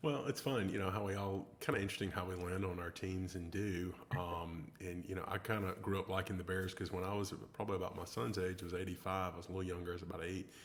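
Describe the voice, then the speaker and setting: A man's very deep, low voice at a very fast pace, hardly any pauses, fairly even intonation, and audible room echo. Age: 40s. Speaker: show host. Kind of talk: casual interview.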